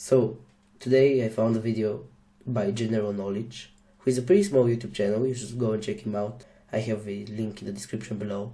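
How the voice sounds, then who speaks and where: In a Slavic accent, a man speaks at a fairly quick pace with a medium pitch and fairly even intonation. His tone is dark and mellow, somewhat breathy, with audible room echo. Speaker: YouTuber reacting to a video. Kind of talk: casual reaction commentary.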